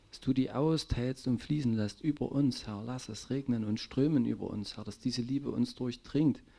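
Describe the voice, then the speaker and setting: A man in a plain, everyday voice of medium pitch talks at a moderate pace with hardly any pauses, fairly even intonation and big swings in loudness. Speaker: congregation member praying. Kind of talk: fervent prayer. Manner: fervent, emotional, repeating 'Herr' with laughs.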